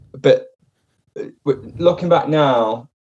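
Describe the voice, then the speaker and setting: A man is speaking. He has an English accent. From England. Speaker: comedian. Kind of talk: casual chat.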